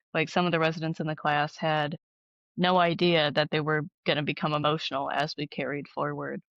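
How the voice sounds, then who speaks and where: A woman's very deep, low voice in an American accent, monotone and flat, with vocal fry, a fairly quick pace, and a dry, close sound against a quiet background, no echo. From Ohio, US. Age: 20s. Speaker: artist. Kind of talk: casual interview chat.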